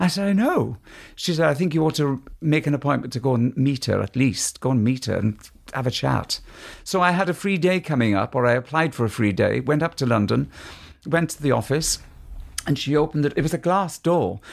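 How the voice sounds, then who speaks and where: With a Welsh accent, a man speaks in a fairly high voice with lively intonation. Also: fairly quick pace. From Mid-Wales. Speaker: musical theatre actor and tenor. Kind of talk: casual chat. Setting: at home.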